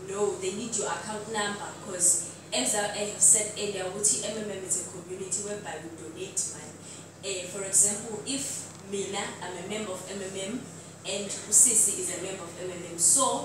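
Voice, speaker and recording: A woman at a moderate pace, amid noticeable background noise and strong room echo. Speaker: presenter. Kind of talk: presentation. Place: hall. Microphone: camera far.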